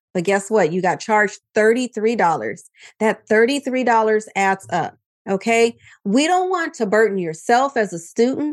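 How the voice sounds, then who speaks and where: Against a quiet background, a woman with a fairly high pitch speaks in an animated tone with lively intonation at a moderate pace. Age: 50s. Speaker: tax and accounting strategist. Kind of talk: interview.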